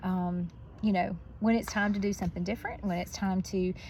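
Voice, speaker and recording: Talking at a fairly quick pace, a woman gets her words out. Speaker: school educator. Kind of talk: motivational talk. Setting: outdoors on a roof. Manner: loud; hesitant fillers.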